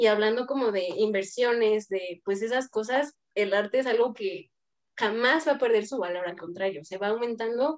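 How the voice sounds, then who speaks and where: At a moderate pace, a woman talks in an ordinary speaking voice with a fairly high pitch and ordinary pitch variation. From Toluca, central Mexico. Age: 20s. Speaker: dancer and dance school owner. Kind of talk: round-table discussion.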